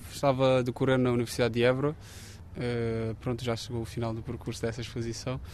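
At a fairly quick pace and with hardly any pauses, a man talks at a medium pitch with fairly even intonation. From Cape Verde. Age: 30s. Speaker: architecture student and photographer. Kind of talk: interview. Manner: hesitant, with frequent fillers.

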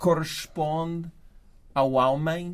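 This is a man with a New York accent. His pitch varies in an ordinary way. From New York, US. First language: English (speaking Portuguese). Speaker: writer. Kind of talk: literary discussion. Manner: halting.

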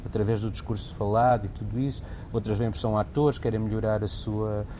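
Over noticeable background noise, the voice moves at a fairly quick pace. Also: man. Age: 50s. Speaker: actor and theatre director. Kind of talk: casual interview chat.

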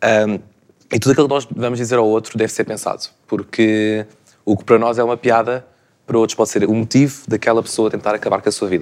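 Delivery from this man comes at a very fast pace. His medium pitch stays monotone and flat. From Portugal, Lisbon area. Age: 20s. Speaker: communication sciences student. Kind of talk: panel discussion.

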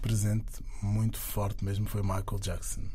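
A man's somewhat breathy, dark, mellow tone with ordinary pitch variation at a fairly slow pace, amid audible room echo. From Angola. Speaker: singer and dancer. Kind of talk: interview.

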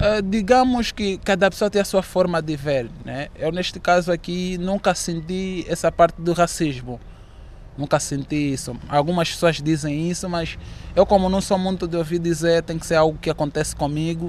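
At a moderate pace, a man speaks in a high pitch. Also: ordinary pitch variation. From Angola. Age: 20s. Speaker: student. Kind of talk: interview. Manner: halting.

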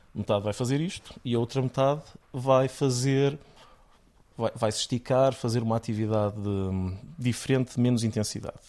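A man speaks at a moderate pace in a dark, mellow tone, his pitch medium and his intonation fairly even. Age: 30s. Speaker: neurologist and researcher. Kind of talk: interview.

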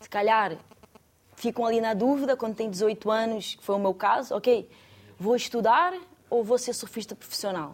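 A woman speaks at a moderate pace with long, frequent pauses. Her loudness swings widely. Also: fairly high pitch for a woman, ordinary pitch variation. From Brazil, Rio de Janeiro state. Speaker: professional surfer. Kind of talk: studio discussion.

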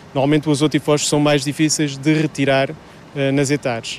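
A man talks in a flat monotone at a fairly high pitch over noticeable background noise. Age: 40s. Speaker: wastewater plant manager. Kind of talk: interview. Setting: wastewater treatment plant.

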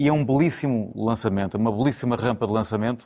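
Speech pours out of a man very fast. He holds a medium pitch. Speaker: football pundit, FC Porto supporter. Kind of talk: studio football debate. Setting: TV studio.

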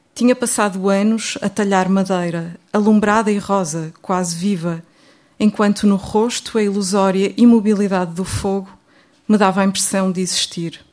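A woman in a European Portuguese accent, medium in pitch, at a moderate pace with fairly even intonation. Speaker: poet. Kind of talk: poetry reading, dense imagery. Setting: stage with audience. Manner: modest, hesitant, quiet.

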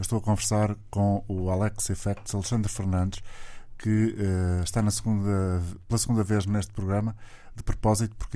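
A man's fairly low, dark, mellow voice in monotone, flat intonation at a fairly quick pace, broken by long, frequent pauses. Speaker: radio host. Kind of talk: radio interview.

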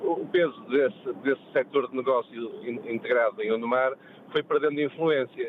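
A fairly high-pitched man speaks at a moderate pace with ordinary pitch variation. Noticeable background noise runs underneath. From Porto, northern Portugal. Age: 50s. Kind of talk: radio call-in chat. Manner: halting, with repetitions.

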